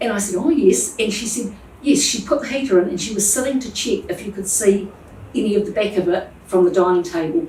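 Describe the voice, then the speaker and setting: With a New Zealand accent, a woman talks fairly quickly at a medium pitch with lively intonation over noticeable background noise. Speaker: plumbing business owner. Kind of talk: interview answer.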